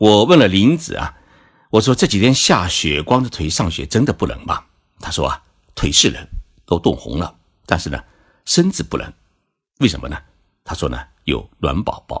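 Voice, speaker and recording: Long, frequent pauses break up the speech. A man delivers it at a moderate pace. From China. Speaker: podcast host, Japan commentator. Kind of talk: scripted narration.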